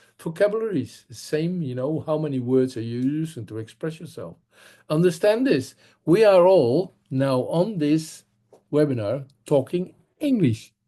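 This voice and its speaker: A man's fairly high, dark and mellow voice in a Dutch accent, with lively intonation, big swings in loudness and a moderate pace, against a quiet background. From Netherlands. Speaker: public speaking trainer. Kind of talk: webinar lecture.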